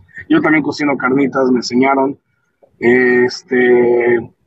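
This is a man's voice. His pitch sits fairly high. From Michoacán, Mexico. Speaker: podcast host, electrician. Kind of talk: casual monologue. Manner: halting.

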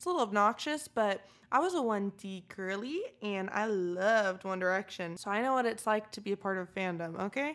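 An ordinary speaking voice from a woman, medium in pitch, with ordinary pitch variation and a fairly quick pace. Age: 20s. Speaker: podcast co-host. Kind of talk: casual chat.

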